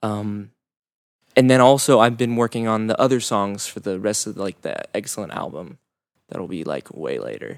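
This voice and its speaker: With a normal speaking voice, a man talks at a medium pitch and a moderate pace, showing ordinary pitch variation and big swings in loudness. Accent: American. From Orange County, California. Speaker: musician. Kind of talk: casual interview.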